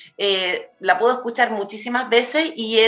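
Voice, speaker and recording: A high-pitched woman's voice with ordinary pitch variation, music in the background. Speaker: cultural journalist and radio host. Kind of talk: radio interview. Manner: fast.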